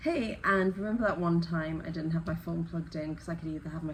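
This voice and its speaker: Talking at a very fast pace, a woman with an English accent is heard in audible room echo. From northeast England, Newcastle. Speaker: crochet YouTuber. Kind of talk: casual unboxing chat.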